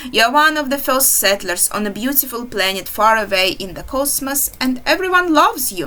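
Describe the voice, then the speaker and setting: A woman with a non-native accent projects a raised, high-pitched voice with very wide pitch swings, talking at a fairly quick pace with hardly any pauses over noticeable background noise. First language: not English. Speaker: indie game developer. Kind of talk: game walkthrough commentary. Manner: halting.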